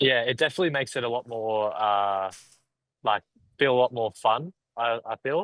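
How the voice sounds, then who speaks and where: A man with an Australian accent at a medium pitch, moderate pace and ordinary pitch variation, with long, frequent pauses. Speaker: professional MMA fighter. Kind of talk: podcast interview.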